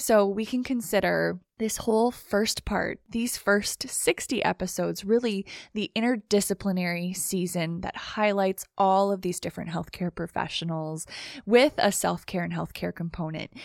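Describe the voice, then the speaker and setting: Using an ordinary speaking voice, a woman talks at a moderate pace, with a medium pitch and ordinary pitch variation. The sound is dry and close with no echo, on a very clean recording with a silent background. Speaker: podcast host and nurse practitioner. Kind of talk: podcast hosting, interview.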